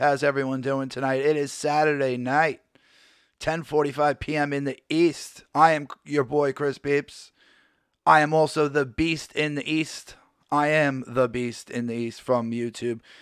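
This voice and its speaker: The voice is hoarse and gravelly, monotone and flat in intonation, moving at a moderate pace in a very clean recording with a silent background. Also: man, fairly high pitch for a man. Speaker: wrestling show host. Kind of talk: casual live hangout show. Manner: hoarse, gravelly delivery.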